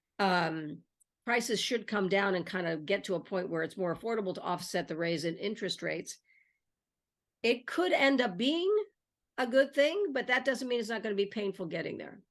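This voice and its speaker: Speaking in a normal speaking voice with an American accent, a woman keeps a moderate pace and medium pitch with lively intonation. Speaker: online video host. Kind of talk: conversational interview.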